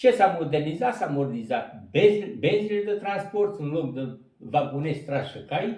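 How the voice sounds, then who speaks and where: Here a man speaks at a fairly high pitch with very wide pitch swings. His pace is moderate, and room echo can be heard. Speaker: retired coal miner. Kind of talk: storytelling interview. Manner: animated.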